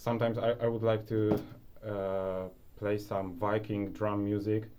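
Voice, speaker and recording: In a room with audible echo, a man speaks in a dark, mellow tone at a fairly low pitch with fairly even intonation. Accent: Polish. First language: Polish. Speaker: self-improvement YouTuber. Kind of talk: casual vlog tutorial. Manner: hesitant, many fillers.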